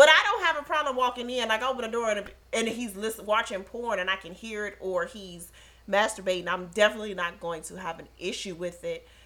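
A woman talks at a very fast pace in a fairly high voice with ordinary pitch variation and big swings in loudness. Noticeable background noise runs underneath. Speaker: podcast co-host. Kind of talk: casual chat. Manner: animated, gets loud when excited.

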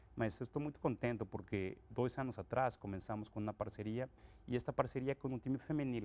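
Speaking at a fairly quick pace, a man with a Mexican accent talks at a medium pitch. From Mexico, Acapulco. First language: Spanish (speaking Portuguese). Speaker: company president. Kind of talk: interview. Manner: mixes Spanish and Portuguese.

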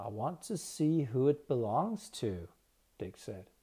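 A somewhat breathy man's voice at a fairly slow pace. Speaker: audiobook narrator. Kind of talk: literary audiobook reading.

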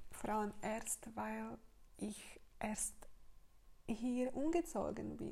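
Speaking very slowly with long, frequent pauses, a woman talks in a Slovak accent. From Slovakia. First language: Slovak (speaking German). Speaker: podcaster and women's business coach. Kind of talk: casual monologue. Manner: halting, many fillers.

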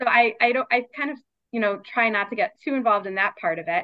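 A woman speaks at a very fast pace with lively intonation. She has a Baltimore accent. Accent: American, Baltimore. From US, Baltimore. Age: 30s. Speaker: clinical social worker, book editor. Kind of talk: casual interview.

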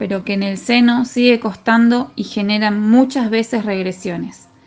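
With music in the background, a woman speaks at a fairly slow pace and a fairly high pitch. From Argentina, Rosario. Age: 30s. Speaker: football referee. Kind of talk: testimony.

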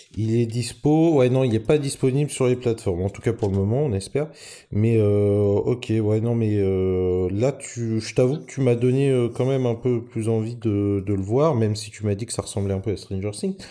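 Dark, mellow male voice at a moderate pace with hardly any pauses. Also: medium pitch for a man, ordinary pitch variation, very clean recording, silent background. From Normandy, France. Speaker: podcast host. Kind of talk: casual chat. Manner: halting.

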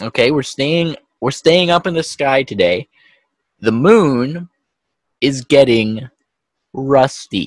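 With long, frequent pauses, a man speaks very slowly at a fairly high pitch and with lively intonation, in a dry, close sound with no echo. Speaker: podcast co-host. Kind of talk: casual chat. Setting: video call. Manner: laughs often.

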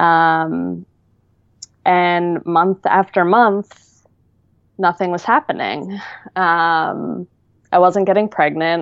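At a very slow pace with long, frequent pauses, a woman with a fairly low pitch keeps her intonation fairly even. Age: 30s. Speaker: IVF patient sharing her story. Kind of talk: personal story interview.

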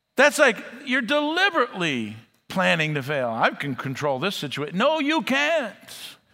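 A man's raised, projected voice, high in pitch with very wide pitch swings, a bright, sharp tone and a moderate pace. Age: 60s. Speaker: pastor. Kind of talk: sermon. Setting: church.

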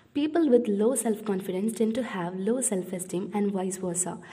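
A woman with a non-native accent and a fairly high pitch talks at a moderate pace. Her pitch variation is ordinary, and there is noticeable background noise. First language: not English. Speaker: podcast host. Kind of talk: solo educational talk.

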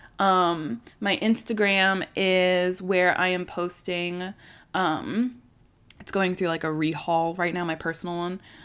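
Over a very clean recording with a silent background, a woman with an American accent speaks at a very slow pace and medium pitch with fairly even intonation. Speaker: podcast host. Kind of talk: solo podcast monologue. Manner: casual, filler-heavy.

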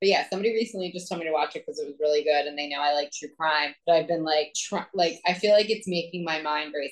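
A woman talks at a very fast pace. Her voice is very deep and low, with ordinary pitch variation. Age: 30s. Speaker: podcast co-host. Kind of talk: casual chat.

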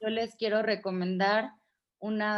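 Against a quiet background, a woman speaks at a very slow pace. Her intonation stays fairly even. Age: 20s. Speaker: feminist activist and radio host. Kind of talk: interview.

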